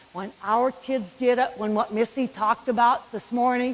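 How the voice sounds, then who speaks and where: A woman with a northern US accent and a fairly high pitch, over noticeable background noise. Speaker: physical education speaker. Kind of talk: conference keynote. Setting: stage with audience. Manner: animated.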